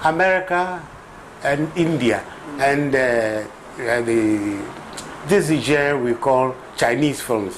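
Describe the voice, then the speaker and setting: Against light background noise, a man talks at a very slow pace with lively intonation, long, frequent pauses and very even loudness. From Ghana. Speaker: filmmaker; interviewee. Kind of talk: interview; interview answer. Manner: halting, repeats words. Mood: earnest, persuasive about history. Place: home room. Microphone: old recording.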